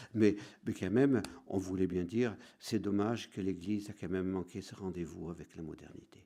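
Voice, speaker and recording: A dark, mellow tone with fairly even intonation at a moderate pace. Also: man, very deep, low pitch for a man. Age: 60s. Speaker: priest. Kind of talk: lecture. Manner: halting.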